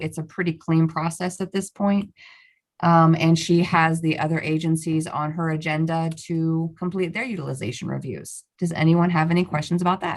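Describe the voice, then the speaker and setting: Here is an ordinary speaking voice at a moderate pace. The intonation stays fairly even. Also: woman, fairly low pitch for a woman. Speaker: staff member presenting a report at a public meeting. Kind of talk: formal meeting. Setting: meeting room.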